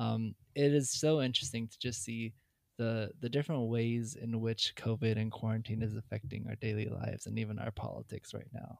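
Here is an unremarkable speaking voice, a man at medium pitch whose intonation stays fairly even while his loudness swings widely. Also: fairly quick pace. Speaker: podcast co-host. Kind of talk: casual chat.

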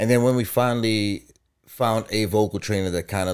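A man with an American accent and a fairly low pitch, ordinary pitch variation and a moderate pace, in a very clean recording with a silent background. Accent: Guyanese-New York. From Guyana. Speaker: podcast co-host, music group member. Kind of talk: casual chat.

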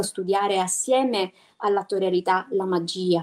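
A woman speaks at medium pitch and a moderate pace. Her intonation is fairly even. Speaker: physical theatre actress and voice actor. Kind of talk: casual chat. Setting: video call.

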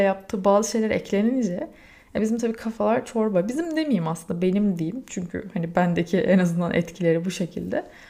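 With a dark, mellow tone, a woman talks at a fairly quick pace with lively intonation. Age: 30s. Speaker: podcaster. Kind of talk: personal monologue.

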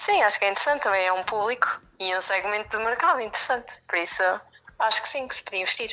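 With lively intonation and a fairly high pitch, a woman talks at a very fast pace. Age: 20s. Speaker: university student. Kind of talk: casual discussion.

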